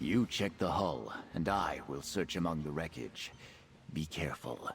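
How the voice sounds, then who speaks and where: Over clear background noise, a man does a put-on character voice with a very deep, low pitch at a moderate pace. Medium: video game. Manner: earnest.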